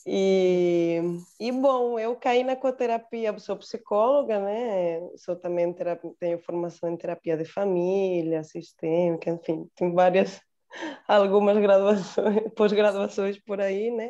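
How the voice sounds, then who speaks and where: Speaking very slowly, a woman with a Spanish accent uses ordinary pitch variation. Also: medium pitch for a woman. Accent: Spanish accent in Portuguese, noticeable. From Spain. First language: Spanish (speaking Portuguese). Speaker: psychologist and photographer. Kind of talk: online group introduction.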